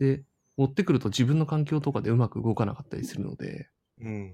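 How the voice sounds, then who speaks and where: The recording is very clean, with a silent background. A man speaks at a very fast pace in a somewhat breathy voice with a dark, mellow tone and ordinary pitch variation. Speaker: Android engineer. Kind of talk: casual chat.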